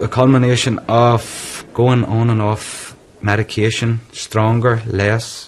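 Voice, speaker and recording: A man with a Northern Irish accent talks very slowly at a medium pitch, his intonation flat and monotone, over noticeable background noise. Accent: Northern Irish (Tyrone). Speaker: businessman with depression. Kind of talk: interview testimony.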